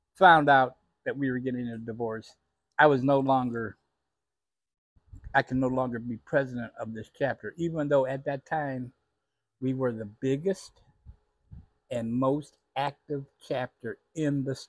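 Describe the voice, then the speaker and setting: Against a quiet background, a man talks at a fairly slow pace with fairly even intonation and long, frequent pauses. The sound is dry, with no echo. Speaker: storyteller. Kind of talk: personal storytelling monologue. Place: home room. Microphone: lapel.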